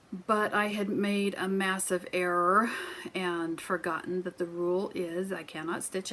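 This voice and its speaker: A woman speaks over noticeable background noise. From US Midwest. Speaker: crafting vlogger. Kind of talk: casual chat.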